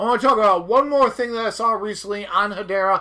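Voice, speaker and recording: A man's bright, sharp voice is raised and projected, animated in tone, moving at a fairly quick pace with ordinary pitch variation. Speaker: crypto YouTuber. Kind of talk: casual commentary over replayed clip. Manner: fast.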